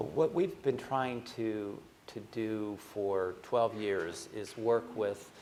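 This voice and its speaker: A man with an American accent, fairly low in pitch, an ordinary speaking voice, with fairly even intonation. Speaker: asset manager. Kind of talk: panel discussion.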